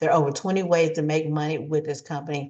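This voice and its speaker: A woman speaks at a fairly quick pace in a very deep, low voice. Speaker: realtor and mortgage loan officer. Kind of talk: sales pitch. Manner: fast; animated.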